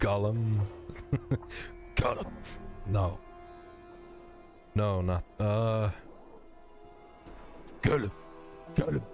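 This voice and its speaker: A man puts on a guttural character voice, fairly low-pitched and very slow. Clear music plays in the background. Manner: struggling, half-abandoned attempt.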